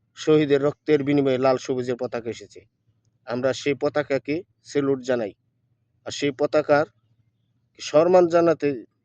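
In a dry, close recording with no echo, a man with a fairly high pitch keeps his intonation fairly even while his loudness swings widely. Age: 40s. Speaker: political video blogger. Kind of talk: political monologue to camera. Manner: halting, many pauses.

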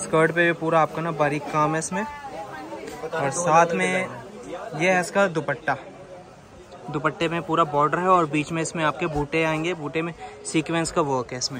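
With crowd noise behind him and a dry sound with no echo, a man speaks with fairly even intonation and long, frequent pauses. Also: moderate pace. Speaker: shop vlogger or seller. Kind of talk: product showcase commentary. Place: shop. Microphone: phone near.

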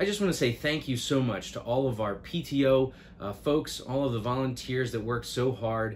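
A man speaks at a moderate pace with ordinary pitch variation against light background noise. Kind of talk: announcement vlog to families. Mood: warm, grateful. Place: office.

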